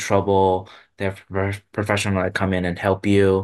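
The man has a very deep, low pitch and a Chinese accent. His intonation is monotone and flat against a quiet background. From Taiwan. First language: Mandarin Chinese. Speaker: guest host, parent. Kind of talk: casual chat. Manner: halting.

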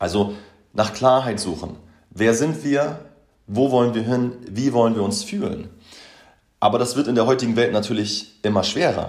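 A man speaks with long, frequent pauses, and the room echo is audible. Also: medium pitch for a man, ordinary pitch variation, moderate pace. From Hamburg, northern Germany. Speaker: podcast host, motivation coach. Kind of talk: solo podcast monologue.

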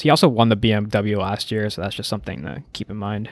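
The man has a plain, everyday voice, fairly low in pitch, and speaks at a fairly quick pace. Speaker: podcast co-host. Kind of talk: casual chat.

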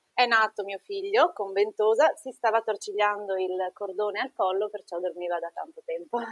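Speaking at a fairly slow pace, a woman keeps to a medium pitch. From northern Italy, Treviso (Veneto). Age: 30s. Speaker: nurse and mother. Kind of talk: personal testimony in interview.

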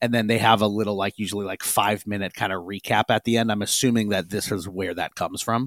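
Over a silent background in a very clean recording, a man with a plain, everyday voice speaks fairly quickly at a fairly low pitch. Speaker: podcast host. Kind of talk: casual podcast discussion.

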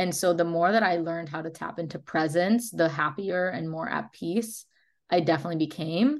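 Over a quiet background, a woman with an unremarkable speaking voice talks at a fairly quick pace, fairly low in pitch with ordinary pitch variation. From Chicago. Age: 20s. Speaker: holistic nutritionist and podcast host. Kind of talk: casual interview chat.

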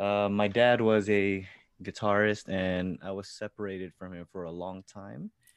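Over a quiet background, a man with a Californian accent speaks at a very deep, low pitch with monotone, flat intonation. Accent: American (Californian). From US, California. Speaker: musician. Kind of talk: casual interview.

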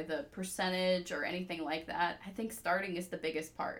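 A woman with an American accent, a medium pitch, an unremarkable speaking voice and a moderate pace. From US South, Georgia (Peachtree City). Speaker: attorney. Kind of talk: casual interview.

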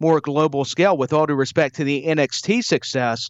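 The delivery is fairly quick, with an enthusiastic, upbeat tone. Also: man. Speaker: wrestling podcast co-host. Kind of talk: casual chat, wrestling show review. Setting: remote recording, across the pond.

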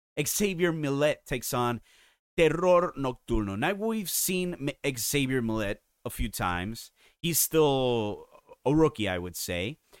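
At a fairly slow pace, a man with a fairly high pitch swings very widely up and down, recorded with a dry, close sound and no echo. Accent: Spanish. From Puerto Rico. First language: Spanish. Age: 30s. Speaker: wrestling podcast host and writer. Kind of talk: casual opinionated podcast talk. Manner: animated, opinionated.

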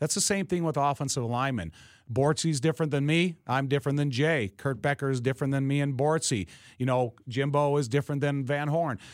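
A man with an American accent speaks fairly quickly in a normal speaking voice, his pitch fairly high with ordinary variation. His loudness stays very even, and the recording is very clean with a silent background. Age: 50s. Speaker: former pro football player and broadcaster. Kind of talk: casual interview. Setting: studio.

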